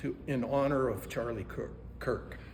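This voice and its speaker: This man's voice sits at a medium pitch. There is noticeable background noise. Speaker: citizen activist. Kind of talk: public comment at county meeting. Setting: county commission meeting. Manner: loud.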